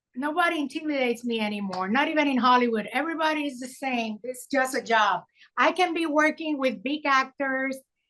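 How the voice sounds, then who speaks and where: High-pitched, lively intonation from a woman at a moderate pace. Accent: Puerto Rican. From Puerto Rico. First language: Spanish. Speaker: filmmaker. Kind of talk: interview. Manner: animated.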